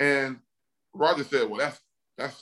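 With an Alabama accent, a man speaks at a moderate pace in a bright, sharp tone and a fairly high pitch. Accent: Southern US (Alabama). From US South, Mobile, Alabama. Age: 40s. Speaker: retired NFL offensive lineman. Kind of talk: casual interview. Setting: video call.

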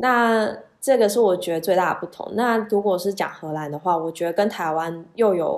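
Against a quiet background, a woman at medium pitch talks at a moderate pace with hardly any pauses and ordinary pitch variation. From Taiwan. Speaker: supply chain professional, former master's student. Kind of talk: interview. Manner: halting, many fillers.

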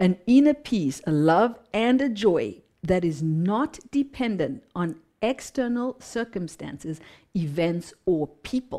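On a very clean recording with a silent background, a woman speaks at a very slow pace in a medium, dark and mellow voice with very wide pitch swings. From Zimbabwe. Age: 50s. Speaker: mindset mentor and speaker. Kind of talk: casual interview chat.

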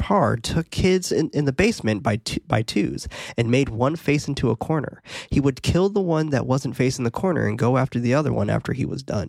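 Speaking at a fairly quick pace, a man with a fairly high pitch and ordinary pitch variation shows vocal fry, his loudness very even and the sound dry and close with no echo. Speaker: horror movie podcast host. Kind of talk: casual chat. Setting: live recording on Discord. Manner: fast; animated.

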